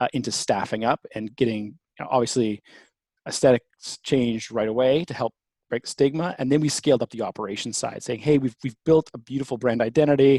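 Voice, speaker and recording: A Canadian-accented man at a medium pitch and fairly quick pace, with a dark, mellow tone, ordinary pitch variation and a dry, close sound with no echo. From Canada, Toronto. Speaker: company founder and CEO. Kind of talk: interview.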